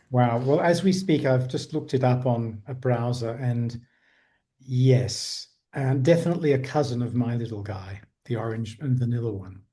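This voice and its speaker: A man with a British accent speaks at medium pitch in a dark, mellow tone. His voice is somewhat breathy against a quiet background. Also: ordinary pitch variation, moderate pace. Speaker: podcast host. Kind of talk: casual interview.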